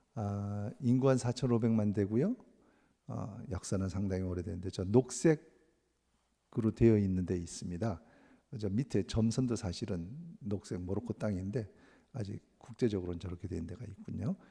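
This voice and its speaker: A man's fairly low, dark and mellow voice, broken by long, frequent pauses. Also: ordinary pitch variation, moderate pace. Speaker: missionary. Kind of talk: sermon with mission report.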